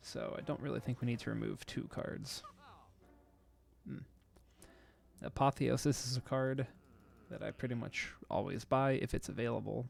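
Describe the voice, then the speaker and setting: A soft-spoken man at a moderate pace, with long, frequent pauses. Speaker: video game streamer. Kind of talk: gameplay tutorial commentary. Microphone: too quiet.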